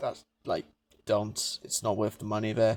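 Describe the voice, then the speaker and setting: The voice belongs to a man. His audio is dry and close, with no trace of echo. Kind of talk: casual game review talk. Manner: ranting.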